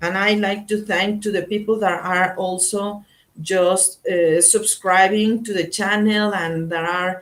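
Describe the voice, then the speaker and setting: Speaking very slowly with a Spanish accent, a woman keeps a medium pitch and fairly even intonation. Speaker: tarot reader. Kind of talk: live tarot reading stream. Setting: live online broadcast. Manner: halting.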